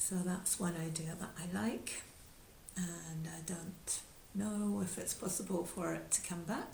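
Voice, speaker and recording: Delivery is very slow, with long, frequent pauses and fairly even intonation. Audible room echo fills the recording. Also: woman. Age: 70s. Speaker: yoga teacher. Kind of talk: talk. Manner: halting.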